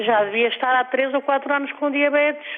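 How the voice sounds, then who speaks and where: Noticeable background noise sits behind a woman speaking in a high voice at a fairly quick pace. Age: 60s. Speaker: caller. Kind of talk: phone-in call. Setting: phone call. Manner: hesitant, rambling speech with fillers.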